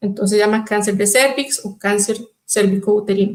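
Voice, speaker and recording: The voice belongs to a woman. Her pitch is fairly high. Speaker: microbiologist. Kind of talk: lecture. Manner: fast.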